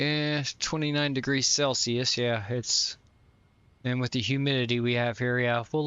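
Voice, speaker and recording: A man with a slight Southern US accent, medium pitch, moderate pace, fairly even intonation and a relaxed tone. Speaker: flight sim streamer. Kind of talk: casual live-stream commentary. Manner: relaxed, with fillers.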